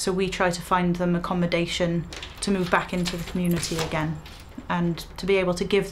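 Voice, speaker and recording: In a fairly low pitch, a woman speaks with monotone, flat intonation over light background noise. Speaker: hostel support worker. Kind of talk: interview answer. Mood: warm, earnest. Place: office. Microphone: lapel.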